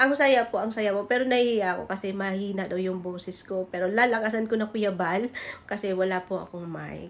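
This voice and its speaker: At a fairly quick pace, a woman talks with a medium pitch and fairly even intonation. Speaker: vlogger. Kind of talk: reaction video commentary. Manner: soft-spoken. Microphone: no microphone.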